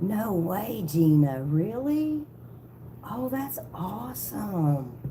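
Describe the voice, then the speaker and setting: Over noticeable background noise and audible room echo, a woman with a Southern accent speaks very slowly in a fairly low voice with very wide pitch swings. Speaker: tarot reader livestreamer. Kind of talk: casual livestream chat. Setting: live video stream.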